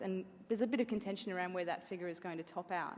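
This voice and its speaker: A woman with an Australian accent talks at a very fast pace, her medium-pitched voice held to fairly even intonation. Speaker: bank sustainability executive. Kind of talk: conference talk. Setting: event venue with audience.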